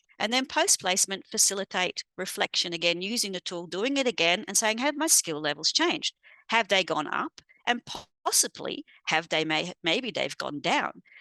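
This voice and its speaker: A bright, sharp tone with very wide pitch swings comes through in a dry, close sound with no echo. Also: woman, medium pitch for a woman. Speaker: university educator presenting at a conference. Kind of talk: conference presentation. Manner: fast.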